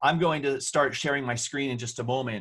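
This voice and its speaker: Loud and bright with a sharp tone, a man with an American accent speaks at a fairly quick pace, with a medium pitch and fairly even intonation. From New Jersey. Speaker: online safety educator. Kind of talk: webinar presentation. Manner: fast.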